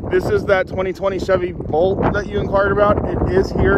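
Loud background noise runs behind a man's voice. The sound is dry, with no echo. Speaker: car salesperson. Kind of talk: personal video sales message. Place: street. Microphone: phone near.

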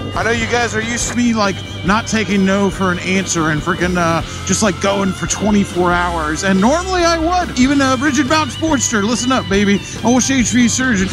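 Over clear background music, a man with a high pitch talks at a moderate pace, the sound dry with no echo. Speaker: motorcycle vlogger. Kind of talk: casual vlog chat. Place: motorbike.

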